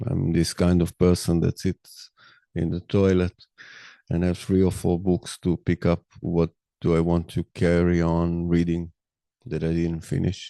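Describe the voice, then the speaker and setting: Speaking at a fairly slow pace with a non-native accent, a man uses a very deep, low pitch, a dark, mellow tone and monotone, flat intonation, in a dry, close sound with no echo and a quiet background. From Israel. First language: Hebrew. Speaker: podcaster. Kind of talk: monologue. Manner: halting.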